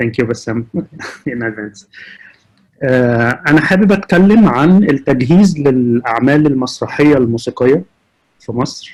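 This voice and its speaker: A man with an Arabic accent, medium in pitch, lively in intonation, fairly slow with long, frequent pauses. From Egypt. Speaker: sound engineer. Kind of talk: panel talk.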